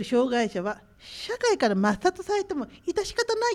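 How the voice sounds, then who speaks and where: Here a woman speaks at a moderate pace with very wide pitch swings. The recording is very clean, with a silent background. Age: 50s. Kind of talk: casual talk show. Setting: conference room.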